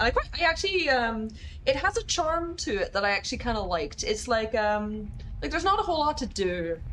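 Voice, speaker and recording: A woman talks at a fairly quick pace in an American accent, her pitch swinging very widely. Noticeable background noise runs underneath. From Northern Ireland. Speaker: video game streamer. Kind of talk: casual gaming livestream chat.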